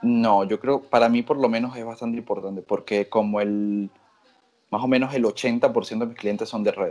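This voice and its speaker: A man speaks in a monotone, flat intonation at a medium pitch. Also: moderate pace. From Venezuela. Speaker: tattoo artist. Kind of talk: interview.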